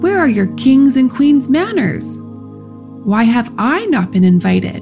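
A female-sounding put-on character voice growls at a fairly slow pace over clear music in the background. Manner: menacing.

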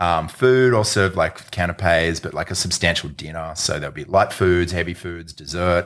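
A man with an Australian accent talks at a moderate pace with hardly any pauses. His voice is very deep and low, with ordinary pitch variation. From Sydney, Australia. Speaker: event producer. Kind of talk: casual chat.

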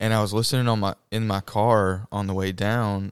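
A man's fairly low, monotone voice with a Southern US accent, dry and close with no echo, on a very clean recording with a silent background. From Mississippi. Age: 20s. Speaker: nursing student and church worship singer. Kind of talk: casual interview.

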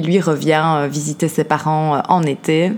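A woman with a Belgian accent and a very deep, low pitch. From Belgium, Liège. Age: 30s. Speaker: podcast host, life coach. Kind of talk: personal testimony. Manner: hesitant, many fillers.

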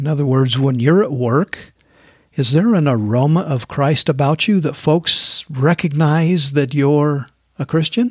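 A man's fairly high, somewhat breathy voice, with ordinary pitch variation and a fairly slow pace. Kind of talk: devotional talk. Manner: casual, laughs often.

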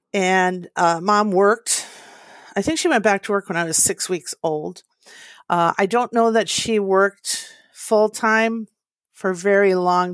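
Talking at a fairly slow pace in an Upper Midwest accent, a woman sounds dry and close with no echo, on a very clean recording with a silent background. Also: medium pitch for a woman, ordinary pitch variation. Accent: Upper Midwest American. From US Midwest, northern Minnesota. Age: 60s. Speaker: interview guest sharing family story. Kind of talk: personal testimony.

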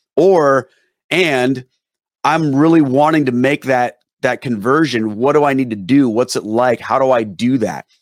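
A man's medium-pitched voice with ordinary pitch variation, very even loudness and a dry, close sound with no echo. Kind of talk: interview. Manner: down-to-earth conversational.

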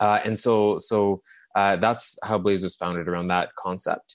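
A man with a Montreal accent at a moderate pace against a quiet background. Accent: Canadian English (Montreal). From Canada, Montreal suburbs. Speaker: tech company CEO. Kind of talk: interview. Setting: remote call.

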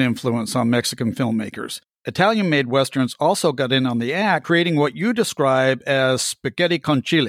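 A man with a normal speaking voice, fairly high in pitch, fairly quick, with lively intonation, in a dry, close sound with no echo. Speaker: podcast host. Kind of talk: interview, casual chat.

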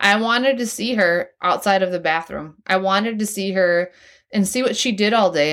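Fairly quick delivery with ordinary pitch variation, in a very clean recording with a silent background. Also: woman. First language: American Sign Language. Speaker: podcast host sharing personal story. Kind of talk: personal monologue.

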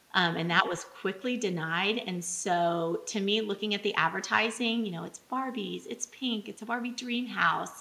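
With hardly any pauses, a medium-pitched woman with an American accent speaks over noticeable background noise. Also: ordinary pitch variation, moderate pace. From Texas, Midland. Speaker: parent activist. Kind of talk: impassioned rally-style speech against a drag event. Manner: fervent, run-on rallying cadence.

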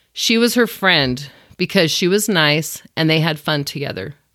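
With a normal speaking voice and lively intonation, a woman talks at a moderate pace in a very clean recording against a silent background. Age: 40s. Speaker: podcast host and blogger. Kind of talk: solo podcast monologue.

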